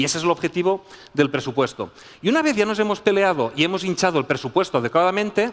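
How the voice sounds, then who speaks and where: With lively intonation, a man speaks at a very fast pace in a high voice. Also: very even loudness. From Spain. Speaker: business school professor. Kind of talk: conference talk. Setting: stage with audience.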